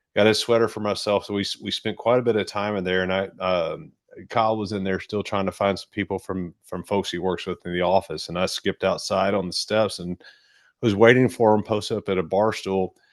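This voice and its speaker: In a Kentucky accent, a man with a fairly low pitch talks fairly quickly with fairly even intonation against a quiet background. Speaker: travel video host. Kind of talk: casual chat.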